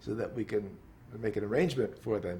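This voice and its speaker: A man is speaking. His voice is somewhat breathy. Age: 70s. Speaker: pianist. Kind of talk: interview answer.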